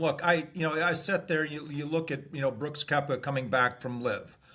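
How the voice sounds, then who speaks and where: With an American accent, a man speaks in a fairly high pitch with a bright, sharp tone and ordinary pitch variation. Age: 60s. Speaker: former pro golfer. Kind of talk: casual interview.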